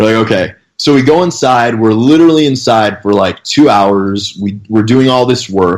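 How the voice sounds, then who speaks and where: A man talks at a moderate pace with ordinary pitch variation and medium pitch. It is an unremarkable speaking voice. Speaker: fitness coach. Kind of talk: casual podcast interview. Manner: casual, storytelling.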